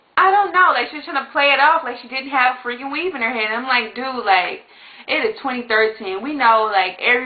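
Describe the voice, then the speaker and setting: A high-pitched woman speaks in an animated tone. Noticeable background noise runs underneath. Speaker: beauty vlogger. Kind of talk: casual vlog monologue. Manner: fast.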